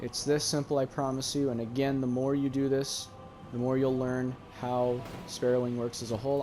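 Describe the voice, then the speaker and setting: Over music in the background, a man with a medium pitch speaks at a moderate pace. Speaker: gaming tutorial creator. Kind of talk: gameplay tutorial. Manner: casual.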